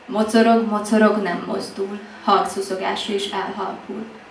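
A woman's voice amid light background noise and audible room echo. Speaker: slam poet. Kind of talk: slam poetry performance, intimate confessional love poem. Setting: stage with audience. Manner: hushed, intimate, teasing, building rhythmically with repeated 'what if' lines. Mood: intimate, expressive. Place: cafe.

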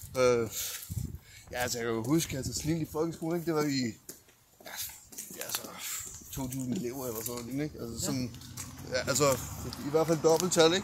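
Against noticeable background noise, a man talks at a fairly quick pace in a medium-pitched voice with ordinary pitch variation and long, frequent pauses. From USA and Denmark. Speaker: rapper. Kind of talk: casual chat.

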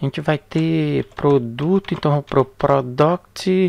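The speaker talks at a very slow pace against a quiet background. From Brazil. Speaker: programming instructor. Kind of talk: tutorial. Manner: casual with many fillers.

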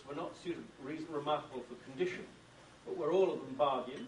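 With a British accent, a man speaks at a fairly quick pace and a fairly high pitch. There is noticeable background noise. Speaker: book editor and bibliophile. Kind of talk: lecture. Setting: stage with audience.

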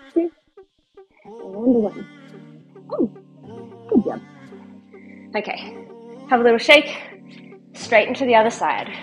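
Faint music plays in the background while a woman speaks. She goes at a fairly slow pace with long, frequent pauses. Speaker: fitness instructor. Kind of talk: workout instruction. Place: home room.

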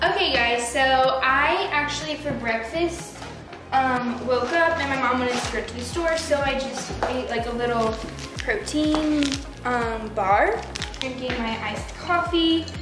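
Fairly slow delivery with ordinary pitch variation, clear background music and audible room echo. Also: woman, high pitch for a woman. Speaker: lifestyle vlogger. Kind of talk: casual vlog chat. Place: kitchen. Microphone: camera far.

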